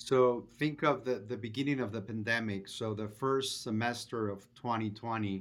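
A man with a Spanish accent speaks fairly slowly at a medium pitch, his intonation fairly even. The recording is very clean, with a silent background. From Venezuela. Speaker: restaurant chain executive. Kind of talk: interview.

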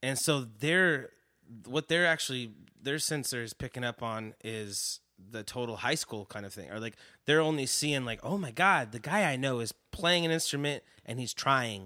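Recorded very cleanly against a silent background, with a dry, close sound and no echo, a man with an American accent talks at a moderate pace and medium pitch, his tone bright and sharp, his intonation lively and his loudness swinging widely. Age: 30s. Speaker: musician. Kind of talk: casual chat. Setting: studio.

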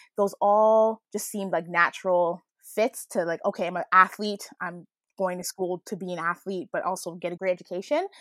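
With a Canadian accent and a plain, everyday voice, a woman speaks at a moderate pace and medium pitch with hardly any pauses, in a dry, close sound with no echo on a very clean recording with a silent background. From Canada. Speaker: former athlete. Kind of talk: casual chat.

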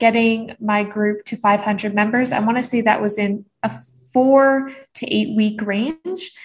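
A woman with an ordinary speaking voice, fairly high in pitch, with ordinary pitch variation. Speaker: business coach. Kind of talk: interview.

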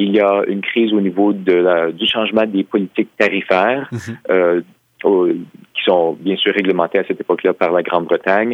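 Fairly low in pitch, a man speaks in an ordinary speaking voice at a moderate pace with fairly even intonation. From Quebec. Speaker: historian and author. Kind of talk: interview.

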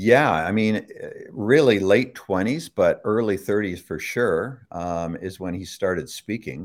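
A man with a Canadian accent and an ordinary speaking voice, fairly low in pitch, with lively intonation at a fairly slow pace. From Toronto, Canada. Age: 60s. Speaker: author and son of a famous speaker. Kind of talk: casual interview. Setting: live online broadcast.

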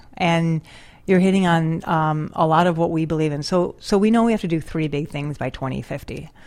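A woman with an American accent and a plain, everyday voice, fairly low in pitch, at a fairly quick pace with ordinary pitch variation, on a very clean recording with a silent background. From rural Western New York, US. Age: 40s. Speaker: conservation investment CEO. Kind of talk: interview. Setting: studio.

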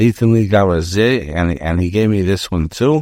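In a very clean recording with a silent background, a man uses an ordinary speaking voice at a fairly low pitch with ordinary pitch variation. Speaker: rabbi teaching Torah. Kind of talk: lecture.

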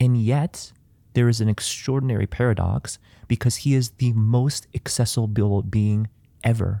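On a very clean recording with a silent background, a man with an American accent speaks at a moderate pace and a medium pitch, in a dark, mellow tone with fairly even intonation and very even loudness. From US Midwest, Chicago suburbs. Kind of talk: interview about faith.

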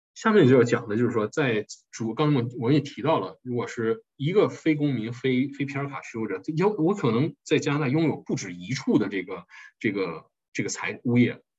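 This man's voice is somewhat breathy, with lively intonation. He speaks at a fairly quick pace, and his loudness swings widely. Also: medium pitch for a man. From China, Harbin. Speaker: tax accountant. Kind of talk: lecture. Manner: hesitant, many fillers.

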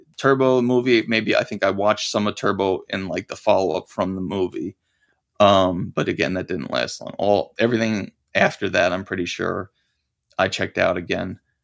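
Recorded very cleanly against a silent background, a man with an unremarkable speaking voice talks at a moderate pace, fairly low pitch and ordinary pitch variation. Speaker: podcast guest, fan. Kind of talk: casual chat.

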